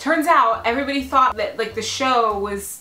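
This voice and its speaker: Talking at a very fast pace, a woman has lively intonation and an animated tone. Audible room echo and noticeable background noise come through. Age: 30s. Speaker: vlogger and actress. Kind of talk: casual vlog chat.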